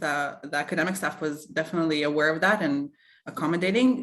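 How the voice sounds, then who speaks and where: A speaker with a non-native accent and ordinary pitch variation. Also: woman. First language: not English. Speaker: alumna / former student. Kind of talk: webinar Q&A.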